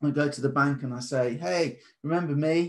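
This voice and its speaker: Here a man speaks with a British accent. His pitch is fairly high and his intonation fairly even. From Britain. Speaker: trading course presenter. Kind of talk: presentation. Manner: casual.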